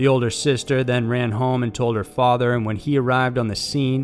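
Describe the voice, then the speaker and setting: Music plays in the background as a man speaks at a fairly quick pace. His pitch is medium and his intonation fairly even. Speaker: video narrator. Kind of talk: true-crime narration, scripted. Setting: online video. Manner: grim, steady, matter-of-fact; measured, formal.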